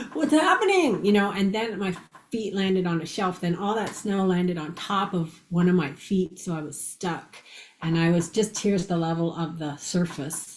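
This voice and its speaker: This woman's voice is somewhat breathy and medium in pitch, delivered at a moderate pace. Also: ordinary pitch variation. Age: 60s. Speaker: near-death experiencer and author. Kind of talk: interview storytelling.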